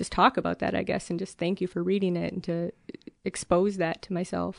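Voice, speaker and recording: A woman with an American accent at a fairly quick pace, in a dry, close sound with no echo. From US Midwest, rural Minnesota. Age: 30s. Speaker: postal worker. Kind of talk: interview.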